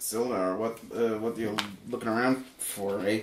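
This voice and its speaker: Here a man puts on a character voice. It sits at a medium pitch and moves at a moderate pace. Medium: actual play. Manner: rowdy, slurred.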